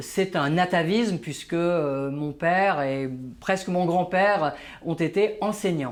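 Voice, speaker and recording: In a high pitch with ordinary pitch variation, a man speaks at a very slow pace. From Paris, France (born in Algeria). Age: 60s. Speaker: management trainer and author. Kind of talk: interview. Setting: office. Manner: hesitant, many fillers.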